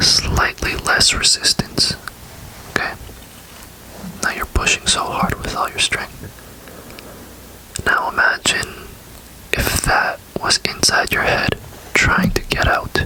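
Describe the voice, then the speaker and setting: Long, frequent pauses break up very slow whispering. Background noise is noticeable. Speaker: ASMR creator. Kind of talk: casual talk to camera, personal ramble. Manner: soft-spoken, rambling, hesitant.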